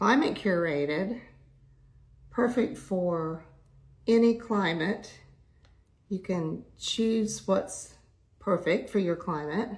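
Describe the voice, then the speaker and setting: Using vocal fry, a woman with a medium pitch speaks at a very slow pace, with ordinary pitch variation and long, frequent pauses. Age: 70s. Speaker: makeup and skincare livestreamer. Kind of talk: makeup tutorial livestream.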